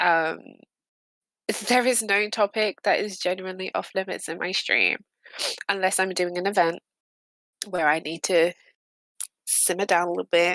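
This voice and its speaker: With a British accent, a woman speaks at a medium pitch in fairly even intonation. Long, frequent pauses break up her speech, and the sound is dry and close with no echo. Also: moderate pace. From Britain. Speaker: streamer. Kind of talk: casual chat. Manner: hesitant, many fillers.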